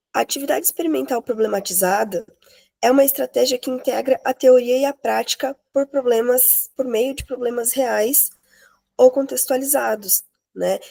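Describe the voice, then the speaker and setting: A woman speaks at a moderate pace with a high pitch and ordinary pitch variation. The sound is dry and close, with no echo. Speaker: master's student presenter. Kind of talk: academic presentation.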